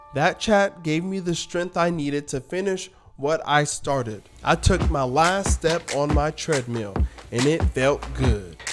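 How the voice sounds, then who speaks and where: Over music in the background, a man talks at a fairly slow pace with a fairly high pitch and lively intonation. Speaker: vlogger. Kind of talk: vlog narration.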